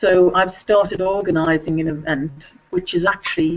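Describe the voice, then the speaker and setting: A woman with an English accent speaks at a moderate pace, her fairly low pitch held in fairly even intonation. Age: 60s. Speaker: children's author. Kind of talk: video interview.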